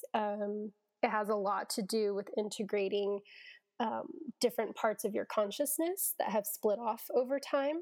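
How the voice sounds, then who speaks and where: In a plain, everyday voice, a woman speaks at a fairly slow pace and fairly high pitch with ordinary pitch variation. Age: 30s. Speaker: therapist. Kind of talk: casual chat.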